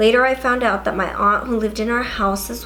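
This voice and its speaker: Over noticeable background noise, a woman talks at a fairly quick pace in a fairly high pitch with a monotone, flat intonation. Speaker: beauty and paranormal-story YouTuber. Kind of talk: casual talk to camera, reading subscribers' ghost stories. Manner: storytelling read-aloud.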